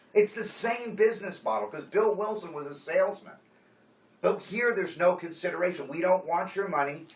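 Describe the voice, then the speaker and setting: A man speaks with a high-pitched voice. There is noticeable noise in the background. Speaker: AA workshop leader. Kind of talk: workshop teaching. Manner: casual, conversational.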